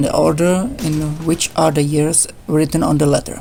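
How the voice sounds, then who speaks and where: With a non-native accent, a woman speaks at a fairly low pitch and a moderate pace with ordinary pitch variation amid noticeable background noise. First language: not English. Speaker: gaming YouTuber. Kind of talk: tutorial. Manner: halting. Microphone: poor voice recording.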